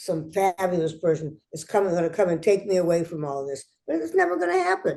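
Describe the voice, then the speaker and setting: Her tone dark and mellow, a woman talks at a fairly quick pace. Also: fairly low pitch for a woman, fairly even intonation. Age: 80s+. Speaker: entrepreneur and former TV host. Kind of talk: interview answer. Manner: chatty, candid.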